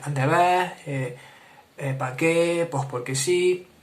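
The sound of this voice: Using a breathy put-on character voice, a man speaks at a fairly slow pace with a fairly high pitch and fairly even intonation.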